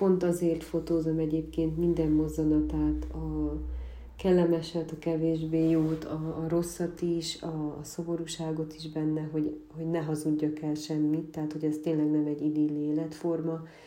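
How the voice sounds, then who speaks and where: With audible room echo, a woman speaks at a moderate pace in a very deep, low pitch and monotone, flat intonation. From Transylvania, Székely Land (Gyergyó region). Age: 20s. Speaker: photographer from a farming family. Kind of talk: interview.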